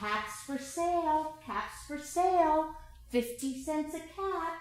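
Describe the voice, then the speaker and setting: A woman speaks very slowly in a high, put-on character voice, with a slight echo. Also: lively intonation. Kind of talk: children's story reading. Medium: read story. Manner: calling out, emphatic.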